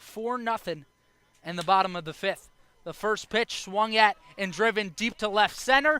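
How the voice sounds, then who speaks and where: In a raised, projected voice with an American accent, a man speaks high and fairly slowly with a bright, sharp tone. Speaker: baseball play-by-play announcer. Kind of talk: sports play-by-play broadcast. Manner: steady, measured, descriptive.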